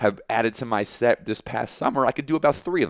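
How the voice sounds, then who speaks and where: A man speaks at a fairly quick pace with a fairly high pitch, lively intonation and vocal fry. The sound is dry and close, with no echo. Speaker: stand-up comedian and former college basketball player. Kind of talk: casual interview chat. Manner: rambling, repeats words, filler-heavy.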